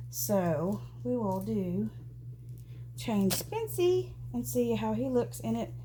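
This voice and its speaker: A woman at a very slow pace, long, frequent pauses and audible room echo. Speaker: doll collector vlogger. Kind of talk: casual chat. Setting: at home. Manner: halting, filler-heavy.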